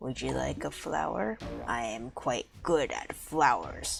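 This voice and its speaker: Over clear music in the background, a put-on character voice rumbles. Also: fairly slow pace. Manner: simple, naive, kindly.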